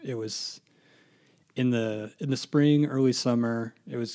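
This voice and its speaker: A man's medium-pitched voice with an American accent, fairly slow and monotone, with flat intonation. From Indiana, US Midwest. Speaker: church member, web systems administrator. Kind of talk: testimony.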